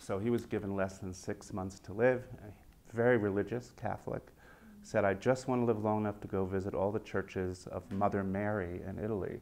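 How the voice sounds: Fairly low and slightly mellow, a man's voice moves at a moderate pace with little pitch movement.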